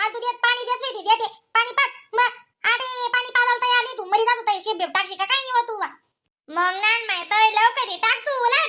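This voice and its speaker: A woman does a squeaky, cartoonish character voice, extremely high-pitched, at a fairly quick pace with ordinary pitch variation. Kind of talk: rustic comic cartoon banter. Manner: fast, bantering.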